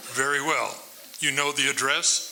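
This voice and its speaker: A man speaks in a raspy, put-on character voice over clear background noise. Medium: stage play. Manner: terse, controlled.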